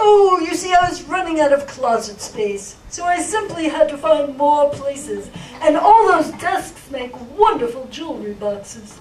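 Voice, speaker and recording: The cartoonish character voice sits at a high pitch and keeps a moderate pace. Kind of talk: live children's puppet show.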